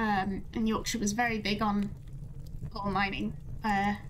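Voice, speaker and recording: Light background noise behind a woman's fairly slow delivery. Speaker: livestreamer. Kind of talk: casual stream chat.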